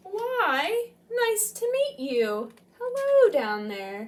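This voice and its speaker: A woman performs a put-on character voice at an extremely high pitch. She speaks at a very slow pace. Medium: read story. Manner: slow, gentle.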